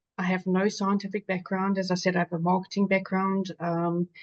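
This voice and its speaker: Speaking with a South African accent, a woman keeps a moderate pace. The recording is dry and close with no echo. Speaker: patient advocate. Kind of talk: webinar panel talk.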